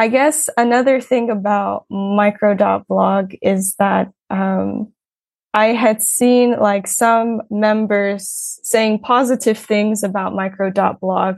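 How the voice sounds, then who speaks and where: Against a quiet background, a woman speaks very slowly in a fairly high pitch with ordinary pitch variation. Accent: American. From United States. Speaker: English teacher and blogger. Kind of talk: casual interview.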